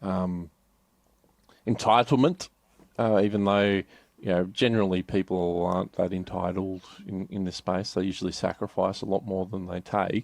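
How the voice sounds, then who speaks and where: Speaking in an Australian accent, a man with a very deep, low pitch keeps a moderate pace and fairly even intonation, with long, frequent pauses, a quiet background and a dry, close sound with no echo. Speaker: business advisor. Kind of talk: podcast interview. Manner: halting.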